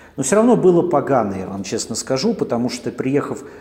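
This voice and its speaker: A man talks at a fairly quick pace while noticeable background noise continues. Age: 40s. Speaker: podcaster. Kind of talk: casual monologue. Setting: coworking space.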